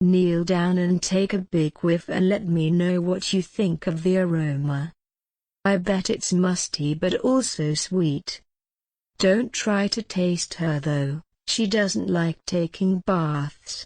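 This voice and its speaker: Using a put-on character voice at a medium pitch, a woman speaks over a quiet background. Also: fairly slow pace. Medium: comedy sketch. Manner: slow, suggestive.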